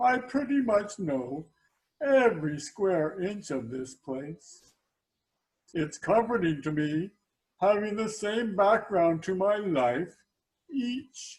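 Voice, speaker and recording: A man puts on a high-pitched character voice, delivering it in a deadpan tone at a very slow pace. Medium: stage play. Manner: deadpan, slow.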